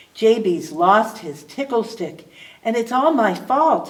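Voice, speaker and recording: A put-on character voice goes along at a fairly slow pace. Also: woman, fairly high pitch for a woman. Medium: read story. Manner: timid.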